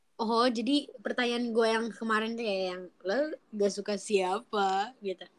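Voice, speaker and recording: At a fairly slow pace with hardly any pauses, a woman speaks in a fairly high pitch using fairly even intonation. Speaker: podcast co-host. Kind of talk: casual chat.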